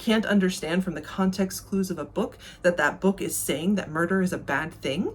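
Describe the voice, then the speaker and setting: A woman speaks at medium pitch with an American accent. Her voice is somewhat breathy and her pace fairly quick. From United States. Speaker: booktuber. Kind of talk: video essay.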